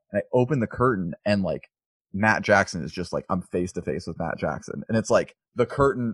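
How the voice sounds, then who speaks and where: Here is a man with a normal speaking voice and a fairly low pitch. He talks fairly quickly with lively intonation, and the sound is dry and close with no echo. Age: 30s. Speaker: podcast host and photographer. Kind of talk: casual chat.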